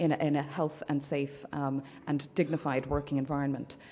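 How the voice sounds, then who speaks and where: A woman with an Irish accent speaks in a very deep, low pitch with a dark, mellow tone. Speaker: human rights campaigner. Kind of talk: conference address. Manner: loud.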